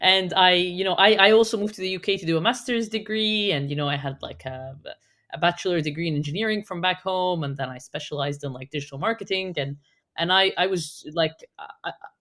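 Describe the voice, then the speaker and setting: A woman with an Arabic accent at a medium pitch, very fast and lively in intonation, with big swings in loudness. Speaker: digital marketing specialist. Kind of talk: podcast conversation.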